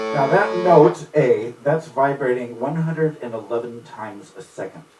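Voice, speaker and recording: Lively intonation marks this man's speech, with noticeable background noise behind it. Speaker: music teacher. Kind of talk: informal lecture. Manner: fast when excited; animated.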